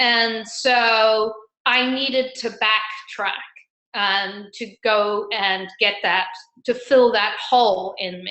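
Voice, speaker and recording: A woman with an English accent, a fairly high pitch, fairly even intonation and a very slow pace. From England, raised also in Argentina. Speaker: financial advisor, former corporate sales. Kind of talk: interview conversation.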